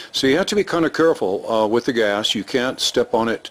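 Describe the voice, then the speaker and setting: A man is speaking. His pace is fairly quick. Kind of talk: tutorial. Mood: pleased, relaxed. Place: street. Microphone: phone near.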